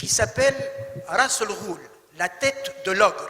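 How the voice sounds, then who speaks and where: In an Arabic accent, a man with an extremely high pitch speaks in a raised, projected voice at a very slow pace, with ordinary pitch variation over noticeable background noise. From Tunisia, Tunis. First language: Arabic (speaking French). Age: 60s. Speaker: actor. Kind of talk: talk. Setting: stage with audience. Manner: formal.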